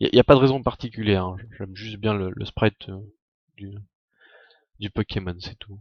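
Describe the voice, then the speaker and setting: Delivered at a moderate pace with fairly even intonation, the speech has long, frequent pauses and big swings in loudness. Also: man, fairly low pitch for a man. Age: 20s. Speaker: Minecraft streamer. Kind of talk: live gaming stream. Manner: casual, hesitant.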